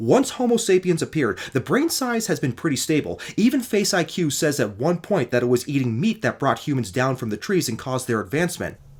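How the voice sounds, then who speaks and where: A man with a fairly high, somewhat breathy voice speaks with hardly any pauses. His pitch swings very widely. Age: 40s. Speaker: YouTuber debunking diet claims. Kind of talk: commentary response video. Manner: fast.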